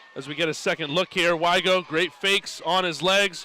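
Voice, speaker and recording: There is noticeable background noise as a man talks with fairly even intonation. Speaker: sports broadcast commentator (water polo play-by-play). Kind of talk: live sports broadcast commentary.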